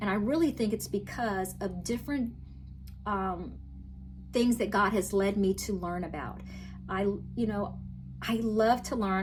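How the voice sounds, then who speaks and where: There is audible room echo around this woman's voice. She speaks at a moderate pace in a Southern US accent. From US South (Virginia, then Florida). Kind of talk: testimony. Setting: talking to camera.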